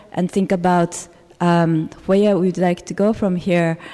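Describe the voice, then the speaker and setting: A woman's dark, mellow voice at medium pitch and a fairly slow pace. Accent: Japanese. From Japan. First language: Japanese. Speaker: activist, public commenter. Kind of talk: public comment at city council meeting. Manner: halting, many fillers.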